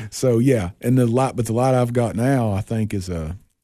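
A man with a Tennessee accent speaks at a moderate pace, his tone dark and mellow. His pitch varies in an ordinary way, over a quiet background. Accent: Southern US (Tennessee). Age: 40s. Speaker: raccoon hunter. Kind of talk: casual chat.

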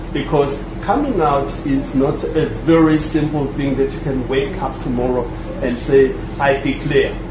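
Over noticeable background noise and audible room echo, a man speaks fairly slowly in a fairly high pitch with fairly even intonation. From Swaziland. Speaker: migrant miners' association representative. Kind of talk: panel discussion. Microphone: poor sound quality.

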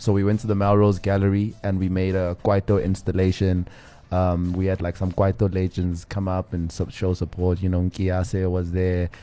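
With a very deep, low pitch, a man speaks at a moderate pace in a dark, mellow tone and a monotone, flat intonation. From South Africa (Johannesburg). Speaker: music producer and artist. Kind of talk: casual interview.

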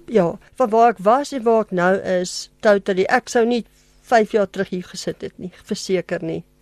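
A woman with an ordinary speaking voice and medium pitch shows ordinary pitch variation and big swings in loudness, recorded dry and close with no echo against a quiet background. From South Africa, Germiston (Gauteng). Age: 50s. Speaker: pet sitter, radio interview guest. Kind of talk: testimony interview. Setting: radio studio.

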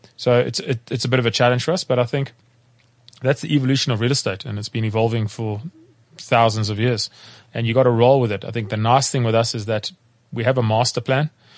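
Very fast pace from a man at medium pitch, with fairly even intonation. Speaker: property development executive. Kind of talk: casual chat.

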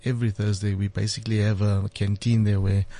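A man's fairly low, somewhat breathy voice, dark and mellow in tone, monotone and flat, at a moderate pace against a quiet background. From South Africa. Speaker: business owner. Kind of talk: preaching-style discussion.

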